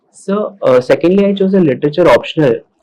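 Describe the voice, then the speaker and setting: A man with an Indian accent, fairly quick pace and a dark, mellow tone. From Maharashtra, India. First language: Hindi. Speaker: civil service exam candidate. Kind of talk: mock job interview. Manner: formal.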